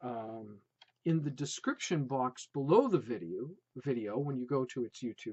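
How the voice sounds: A natural reading voice full of lively intonation over a quiet background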